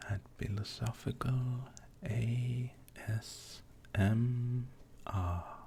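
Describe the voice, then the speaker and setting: Soft-spoken, the voice moves at a very slow pace with long, frequent pauses. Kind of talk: casual talk to camera.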